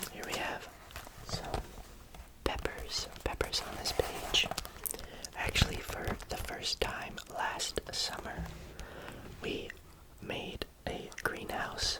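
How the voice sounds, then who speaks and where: A man whispering at a very slow pace, with long, frequent pauses and noticeable background noise. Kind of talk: ASMR book reading. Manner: whispered; soft, slow, relaxing.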